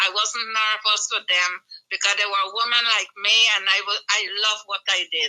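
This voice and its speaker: A woman's fairly high voice at a moderate pace, monotone and flat, with very even loudness. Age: 60s. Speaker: retired nurse and nurse educator. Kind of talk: interview. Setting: radio studio.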